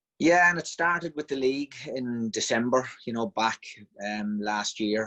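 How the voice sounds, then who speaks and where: Man with a slight Monaghan accent, medium pitch, bright, sharp tone, lively intonation and moderate pace, in a dry, close sound with no echo. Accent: trace of Monaghan. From Ireland, Monaghan town. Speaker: football team manager. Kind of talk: casual interview.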